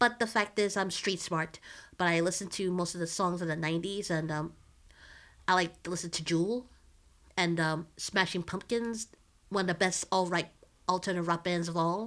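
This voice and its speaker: With an American accent, a woman speaks at a fairly low pitch and fairly even intonation. She takes long, frequent pauses, and the recording is very clean with a silent background. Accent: Philly accent with a slight Southern drawl. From Philadelphia. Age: 30s. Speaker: nonprofit IT worker and activist. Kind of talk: casual interview chat.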